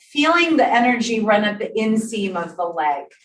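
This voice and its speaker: A woman with a fairly high pitch speaks at a fairly slow pace. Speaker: exercise instructor. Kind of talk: exercise class instruction. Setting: in-person class also streamed on Zoom. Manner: clear.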